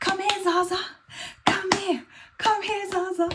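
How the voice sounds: This is a squeaky, put-on character voice. It moves at a fairly slow pace. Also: female-sounding voice, extremely high pitch for a woman.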